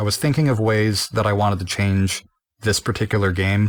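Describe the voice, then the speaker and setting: At a fairly quick pace comes a normal speaking voice. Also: man. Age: 20s. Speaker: game developer. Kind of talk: developer commentary.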